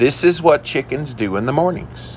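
There is light background noise. A man's voice is heard. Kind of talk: casual vlog chat. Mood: relaxed, admiring. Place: garden. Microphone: phone near.

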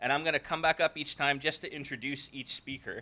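A man speaks at a fairly quick pace with a fairly high pitch, fairly even intonation and a bright, sharp tone.

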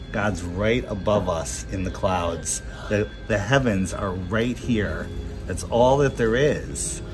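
Over clear music in the background, a man talks at a very slow pace with lively intonation. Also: fairly low pitch for a man. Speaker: interviewer. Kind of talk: interview questions. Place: hall. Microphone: phone near.

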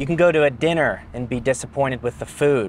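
Lively intonation marks a man talking at a fairly quick pace, the sound dry with no echo and light background noise present. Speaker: car reviewer. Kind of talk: casual vlog chat. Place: car. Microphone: lapel.

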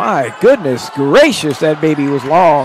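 A man's pitch swings very widely as he speaks at a fairly slow pace, with noticeable background noise behind him. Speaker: basketball commentator. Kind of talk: live sports commentary. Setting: gym, courtside broadcast.

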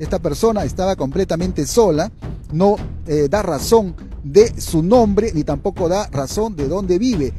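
Faint music sits in the background. The man's pace is fairly slow. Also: dry sound with no echo. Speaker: local news reporter. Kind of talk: local TV news announcement. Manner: hesitant, with filler sounds. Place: street. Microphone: handheld.

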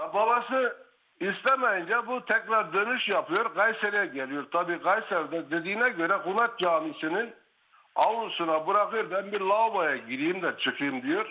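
A man with a high pitch projects his raised voice at a moderate pace, his tone bright and sharp and his intonation lively. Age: 60s. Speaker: caller, brother of guest. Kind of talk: phone-in testimony.

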